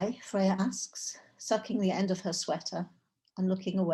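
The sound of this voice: An unforced reading voice with fairly even intonation against a quiet background.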